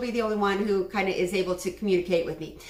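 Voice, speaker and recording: Very fast speech amid noticeable background noise and audible room echo. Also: woman. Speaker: webinar instructor. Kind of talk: online class.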